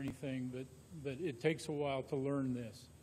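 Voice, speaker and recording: A fairly high-pitched man with an American accent, a moderate pace and fairly even intonation, amid audible room echo. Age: 60s. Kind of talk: public meeting discussion. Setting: council meeting room with microphones.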